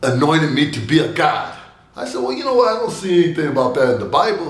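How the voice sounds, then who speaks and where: A man with a fairly high voice is heard with audible room echo. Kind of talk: devotional message with personal stories.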